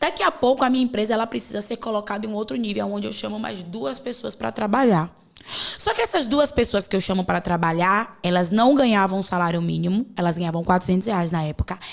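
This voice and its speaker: A woman with a Bahian accent talks at a very fast pace, her medium-pitched voice carrying lively intonation. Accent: Bahian Brazilian Portuguese. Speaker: podcast host, women's coach. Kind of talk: podcast conversation.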